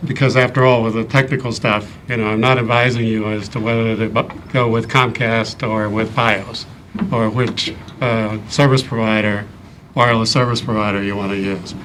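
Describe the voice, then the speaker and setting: A man with an American accent talks at a medium pitch and a moderate pace in a monotone, flat intonation. Audible room echo and noticeable background noise surround his voice. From US Midwest, Ohio. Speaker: engineer and board candidate. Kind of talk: interview. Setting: town board meeting. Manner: hesitant with frequent ums.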